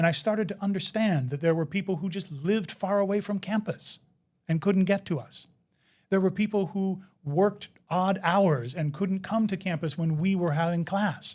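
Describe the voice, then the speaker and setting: An American accent comes through. Delivery is neither hurried nor slow. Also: man, high pitch for a man, ordinary pitch variation. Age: 50s. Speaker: inclusive education expert. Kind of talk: interview. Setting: live online event.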